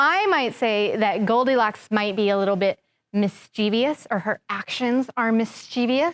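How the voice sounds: The background stays quiet while someone reads in a natural reading voice.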